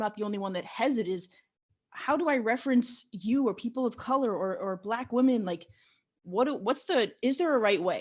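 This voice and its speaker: Fairly quick and lively in intonation, a woman speaks at a fairly high pitch with a Canadian accent. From Canada, Ontario (small town south of Ottawa). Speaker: podcast host. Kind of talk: interview. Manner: halting.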